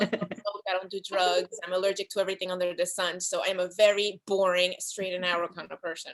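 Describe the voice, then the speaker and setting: Speaking at a very fast pace with hardly any pauses, a woman with a Spanish accent uses a medium pitch, the sound dry and close with no echo. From Dominican Republic. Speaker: actress and filmmaker. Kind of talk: casual interview chat. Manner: soft-spoken; animated.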